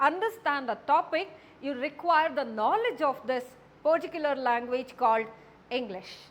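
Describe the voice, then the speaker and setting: A woman with a Karnataka accent speaks with lively intonation. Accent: Indian English (Kannada). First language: Kannada. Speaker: college English lecturer. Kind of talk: lecture.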